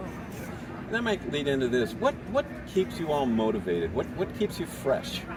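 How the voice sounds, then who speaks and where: Over noticeable background noise, a man talks with hardly any pauses, his pitch swinging very widely. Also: fairly high pitch for a man, moderate pace. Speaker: barbecue event host. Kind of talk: event interview host. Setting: outdoors.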